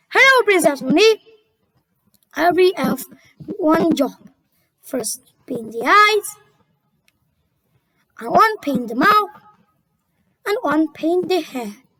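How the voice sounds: A cartoonish character voice with very wide pitch swings moves at a fairly slow pace with long, frequent pauses. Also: woman, extremely high pitch for a woman.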